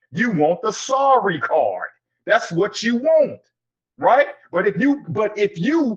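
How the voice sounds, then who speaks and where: A man speaks in an animated tone. His pitch swings very widely. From US South, Anniston, Alabama. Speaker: podcast host. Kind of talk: casual panel discussion.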